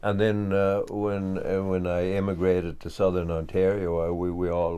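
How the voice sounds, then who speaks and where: A man with a very deep, low, dark and mellow voice speaks at a moderate pace with ordinary pitch variation. Audible room echo surrounds him. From west of Ireland. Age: 60s. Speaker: farmer. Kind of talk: interview. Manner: halting, many fillers.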